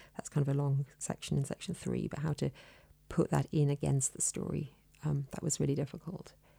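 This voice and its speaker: In a dry, close sound with no echo, a woman speaks at a fairly quick pace with a very deep, low pitch, vocal fry, a dark, mellow tone and monotone, flat intonation. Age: 40s. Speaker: poet. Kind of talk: interview. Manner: hesitant, many fillers.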